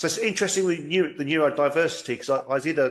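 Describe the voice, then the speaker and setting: With an English accent, the speech moves along at a fairly quick pace. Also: man. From England. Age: 60s. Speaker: podcast host. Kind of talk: casual chat.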